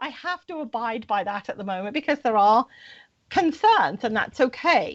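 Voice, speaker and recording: A woman with a British accent speaks at a moderate pace in a high voice. Her pitch swings very widely and her loudness rises and falls sharply. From Britain. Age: 60s. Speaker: spiritual guest on radio show. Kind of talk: interview.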